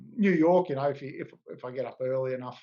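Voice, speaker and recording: Speaking in an Australian accent, a man talks at medium pitch and a fairly quick pace. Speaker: car club president. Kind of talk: interview. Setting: video call. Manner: halting.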